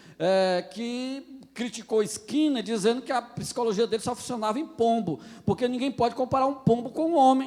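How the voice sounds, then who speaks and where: A man with a northeastern Brazilian accent, extremely high in pitch, speaking at a moderate pace. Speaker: pastor. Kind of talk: lecture. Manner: halting.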